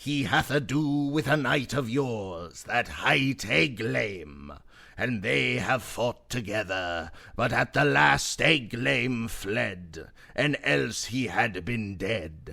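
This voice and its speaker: Adopting a put-on character voice, a man speaks very slowly at a medium pitch. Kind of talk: archaic storytelling. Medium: read story.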